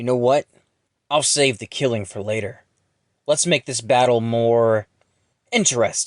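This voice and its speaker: Putting on a character voice at a medium pitch, a man speaks at a moderate pace with fairly even intonation, big swings in loudness and long, frequent pauses, in a dry, close sound with no echo. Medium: audio drama. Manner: sneering, contemptuous.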